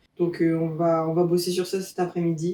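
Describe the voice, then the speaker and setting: A woman's fairly low voice, dark and mellow, relaxed in tone, with monotone, flat intonation. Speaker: vlogger. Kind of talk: personal video diary. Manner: relaxed, hesitant with many fillers.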